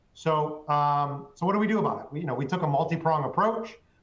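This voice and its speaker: With audible room echo, a man talks at a fairly quick pace in a somewhat breathy voice with a fairly high pitch. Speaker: manufacturing company executive. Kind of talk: webinar presentation. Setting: webinar call. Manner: fast.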